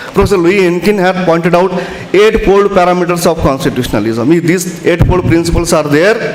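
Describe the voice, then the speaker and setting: Amid noticeable background noise and audible room echo, a man talks at a fairly quick pace in a high pitch. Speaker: conference speaker on constitutional law. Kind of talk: lecture.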